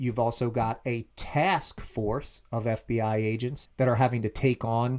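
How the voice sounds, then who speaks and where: In a Philadelphia accent, a man speaks with a dark, mellow tone. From Philadelphia, US. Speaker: TV review co-host. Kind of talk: casual chat. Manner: animated.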